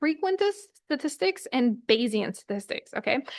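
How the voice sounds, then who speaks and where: A woman's high-pitched voice with very wide pitch swings. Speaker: lecturer. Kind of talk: lecture. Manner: fast.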